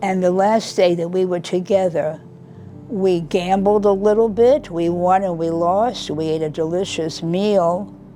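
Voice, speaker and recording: Over noticeable background noise, a woman talks at a fairly slow pace with fairly even intonation. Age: 80s+. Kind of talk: interview answer. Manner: quiet, reflective.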